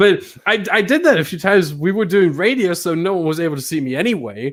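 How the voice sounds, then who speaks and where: Very fast, high-pitched male speech with lively intonation and a non-native accent. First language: not English. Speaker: simracing commentator and podcast co-host. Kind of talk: casual chat.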